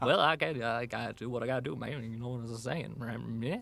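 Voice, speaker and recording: A man speaks at a moderate pace in a put-on character voice, his pitch medium. He mumbles his words. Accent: Southern. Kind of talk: casual, colloquial. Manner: mumbling.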